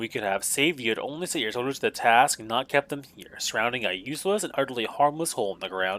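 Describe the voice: Lively intonation in a plain read-aloud delivery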